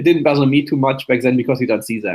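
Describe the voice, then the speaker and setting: A man with a German accent speaks at a very fast pace. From Germany. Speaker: memory athlete and show co-host. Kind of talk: casual interview chat.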